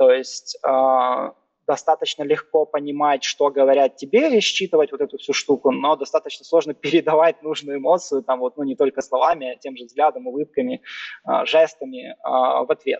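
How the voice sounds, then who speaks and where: With a plain, everyday voice, a man speaks at a moderate pace in a fairly high pitch with ordinary pitch variation. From Ukraine, Kyiv. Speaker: growth marketing manager. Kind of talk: casual interview.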